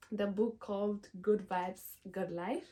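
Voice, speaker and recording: A woman speaks at a fairly slow pace and medium pitch. Noticeable background noise sits behind her. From Ethiopia. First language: Amharic. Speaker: lifestyle vlogger. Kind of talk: casual vlog talk to camera. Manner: hesitant, many fillers.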